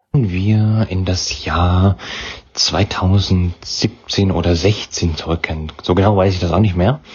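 A man speaks at a very slow pace with a very deep, low pitch and fairly even intonation. Noticeable background noise runs behind him. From Thuringia, Germany (Weimar). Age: young. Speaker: podcaster. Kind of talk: interview.

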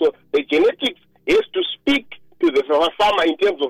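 The speaker is a man. He talks with a Zimbabwean accent. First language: Shona. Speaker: agronomist. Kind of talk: radio interview.

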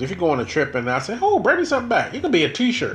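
This man rushes along at a very fast pace, with audible room echo and noticeable background noise around him. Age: 50s. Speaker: podcast host. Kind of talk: casual chat.

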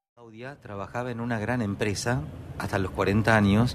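A man talks with a Rioplatense accent at a moderate pace and fairly low pitch. His pitch variation is ordinary, and there is noticeable background noise. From Argentina. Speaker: radio host and pianist. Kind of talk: radio interview.

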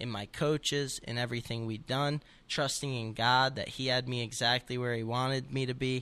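A man with an American accent speaks at a moderate pace in a medium pitch, using a normal speaking voice with fairly even intonation on a very clean recording with a silent background. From New Jersey (Montville). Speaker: wrestler. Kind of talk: interview.

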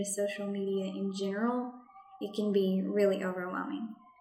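Against noticeable background noise, a woman with a medium pitch speaks at a moderate pace. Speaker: project manager and podcast host. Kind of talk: scripted-style informative talk, podcast monologue. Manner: sassy, friendly, conversational.

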